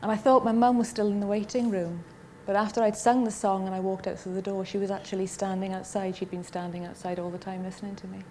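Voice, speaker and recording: A woman speaks very fast in a Welsh accent at medium pitch. Her intonation is fairly even, but her loudness swings a lot. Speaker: talent show contestant. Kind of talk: TV interview.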